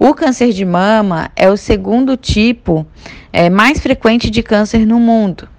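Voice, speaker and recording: Here is a woman with a normal speaking voice and a fairly high pitch. She speaks at a fairly slow pace. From Florianópolis, southern Brazil. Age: 20s. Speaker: doctoral student and activist. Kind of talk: podcast interview.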